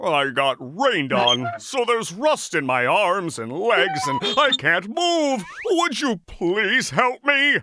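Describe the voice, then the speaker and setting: The speaker puts on a cartoonish character voice at a middle pitch, with very wide pitch swings. The pace is fairly slow, with hardly any pauses. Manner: polite, gentle.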